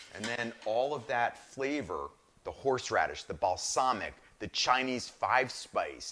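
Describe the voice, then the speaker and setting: Animated and enthusiastic, a man with a bright, sharp tone and medium pitch talks at a moderate pace. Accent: New Jersey. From northern New Jersey. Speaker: chef, cooking show host. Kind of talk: live cooking show demonstration. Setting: live streamed cooking show. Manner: animated, enthusiastic.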